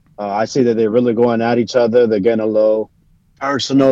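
A man speaks in a normal speaking voice. His pitch is medium and his intonation fairly even. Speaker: boxing commentator calling in. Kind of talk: casual chat. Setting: video call.

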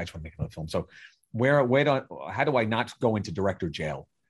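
A man with a New York accent talks in a somewhat breathy voice at a fairly low pitch. His pitch swings very widely over a quiet background. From Staten Island, New York. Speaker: film director and writer. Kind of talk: casual interview chat.

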